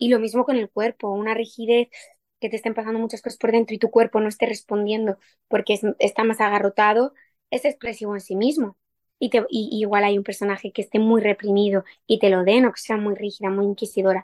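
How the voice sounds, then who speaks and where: A woman's fairly high, flat, monotone voice at a fairly quick pace. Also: dry, close sound with no echo. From Madrid, Spain. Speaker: actress. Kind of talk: interview.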